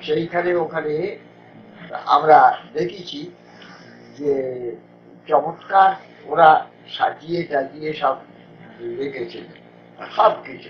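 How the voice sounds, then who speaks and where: This man's fairly high voice holds a fairly even intonation while his loudness swings widely over noticeable background noise. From Kolkata, India. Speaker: radio broadcaster. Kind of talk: interview answer.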